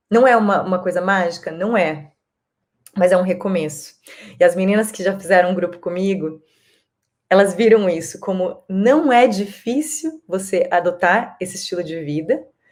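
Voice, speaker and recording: A woman speaks at a moderate pace and medium pitch. Her pitch variation is ordinary. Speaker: wellness vlogger. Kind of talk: casual monologue to camera. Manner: halting, searching for words.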